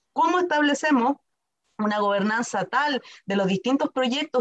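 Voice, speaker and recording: A woman's high-pitched voice with lively intonation at a moderate pace, in a dry, close sound with no echo. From Chile, Temuco (Araucanía). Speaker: lawyer and university director. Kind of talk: interview.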